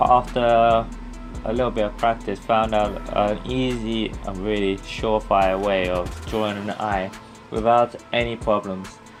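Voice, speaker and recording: A man talks fairly slowly as music plays in the background. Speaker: digital art tutorial maker. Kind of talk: casual tutorial narration.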